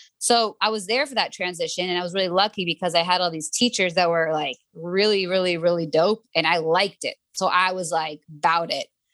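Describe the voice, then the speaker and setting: In an unremarkable speaking voice, a woman talks at a fairly quick pace with hardly any pauses and fairly low pitch. Pitch varies in an ordinary way, and the sound is dry and close with no echo. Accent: American. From South Florida (Pembroke Pines, near Miami). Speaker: dancer and choreographer. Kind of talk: casual interview.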